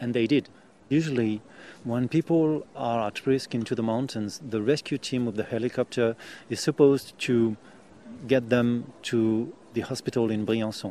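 The voice has a French accent and a dark, mellow tone. The background is quiet. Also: man. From France. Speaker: volunteer rescuer. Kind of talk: interview.

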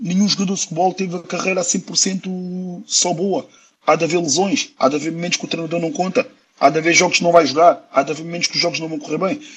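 A man at a high pitch and a very fast pace. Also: ordinary pitch variation. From Portugal, Lisbon. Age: 30s. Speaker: professional footballer. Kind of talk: interview.

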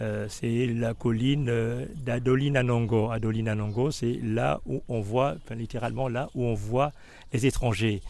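A man talks at a medium pitch with a dark, mellow tone. His intonation is fairly even and his pace fairly slow. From Gabon. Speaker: guide to the hospital's history. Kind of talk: interview.

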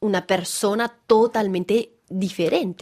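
A woman speaks at a fairly slow pace with a slight Venezuelan accent. Her pitch sits in the middle range and her intonation stays fairly even. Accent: Spanish with Venezuelan touch. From France, French Alps. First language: French (speaking Spanish). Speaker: actress and theatre director. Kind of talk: interview. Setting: studio. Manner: halting, repeats words.

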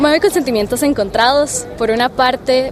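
Noticeable background noise sits behind a woman speaking at a high pitch with ordinary pitch variation. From Costa Rica, San José. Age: 20s. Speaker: youth climate negotiator. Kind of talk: interview. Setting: conference venue.

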